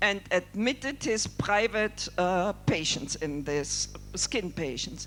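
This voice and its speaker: Someone talks at a very slow pace while music plays in the background. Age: 60s. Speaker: doctor and leprosy worker. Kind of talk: keynote speech.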